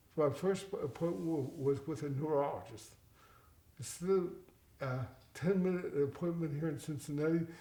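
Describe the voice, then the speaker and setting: A man with a fairly high pitch and a dark, mellow tone speaks with ordinary pitch variation and long, frequent pauses, while audible room echo surrounds him. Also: moderate pace. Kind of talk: interview. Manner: halting, repeats words.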